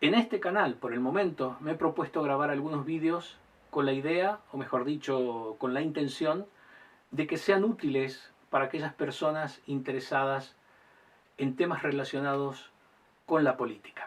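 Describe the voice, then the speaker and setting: In an unremarkable speaking voice, a man talks at a moderate pace with a fairly high pitch and ordinary pitch variation. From Argentina. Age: 60s. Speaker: lawyer and political commentator. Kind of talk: monologue to camera. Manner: formal.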